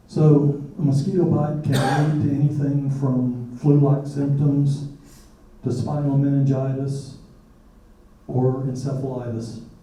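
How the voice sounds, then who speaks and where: Amid noticeable background noise and audible room echo, a man with a fairly high pitch speaks in a monotone, flat intonation. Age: 60s. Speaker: retired chemist, disease survivor. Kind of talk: testimony. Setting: public forum with audience.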